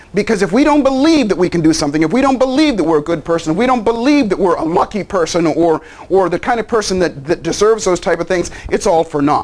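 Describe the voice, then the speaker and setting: Very fast delivery with lively intonation and an animated tone, very even loudness, and noticeable background noise. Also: man, high pitch for a man. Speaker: life coach and seminar speaker. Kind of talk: promotional pitch.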